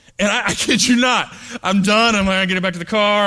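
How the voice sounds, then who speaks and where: A man with an American accent talks at a very fast pace in a raised, projected voice with a bright, sharp tone. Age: 30s. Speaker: pastor. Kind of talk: sermon. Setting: church. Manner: halting.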